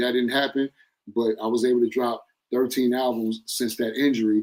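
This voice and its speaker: At a fairly quick pace, an unremarkable speaking voice is heard. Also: man. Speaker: rapper. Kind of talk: interview.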